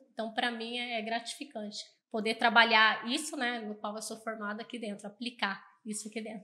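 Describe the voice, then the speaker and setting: A woman talks at a moderate pace with a fairly high pitch. Her tone is bright and sharp, and her intonation stays monotone and flat. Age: 20s. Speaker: accounting firm customer success staff. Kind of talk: podcast interview.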